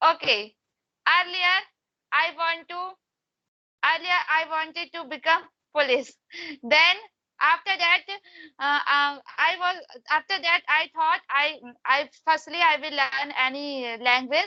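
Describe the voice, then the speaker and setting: Raising and projecting her extremely high, bright and sharp voice, a woman speaks fairly slowly with long, frequent pauses. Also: ordinary pitch variation. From India, Madhya Pradesh. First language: Hindi. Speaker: English learner. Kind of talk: casual chat. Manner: halting.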